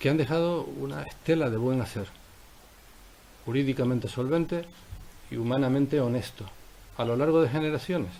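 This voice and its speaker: Fairly quick delivery broken by long, frequent pauses, with ordinary pitch variation and audible room echo. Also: man, medium pitch for a man. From Canary Islands, Tenerife (La Laguna). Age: 60s. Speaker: politician. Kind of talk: press conference statement. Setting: press conference room. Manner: formal.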